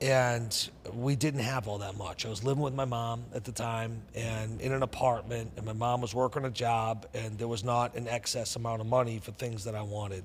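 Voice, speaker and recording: Somewhat breathy, a man speaks with hardly any pauses and fairly even intonation. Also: medium pitch for a man, moderate pace. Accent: Boston. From New England, Boston area. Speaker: entrepreneur and investor. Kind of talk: interview storytelling.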